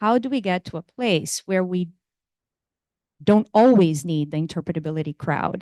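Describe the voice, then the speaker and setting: Against a quiet background, a woman with a Portuguese accent speaks at a moderate pace in a fairly low, dark and mellow voice with lively intonation, the sound dry and close with no echo. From Brazil. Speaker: computer science professor. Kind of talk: lecture. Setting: lecture room with audience.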